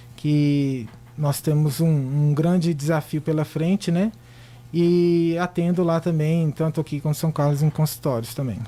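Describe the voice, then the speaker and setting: With a Minas Gerais accent, a man speaks fairly slowly at a fairly high pitch, his dark, mellow tone holding very even loudness and fairly even intonation. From Minas Gerais, Brazil. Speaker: physician. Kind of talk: radio interview. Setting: radio studio.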